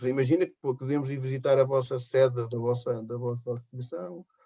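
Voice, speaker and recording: A man with an ordinary speaking voice, medium pitch, and a moderate pace. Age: 60s. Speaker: schoolteacher. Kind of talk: interview.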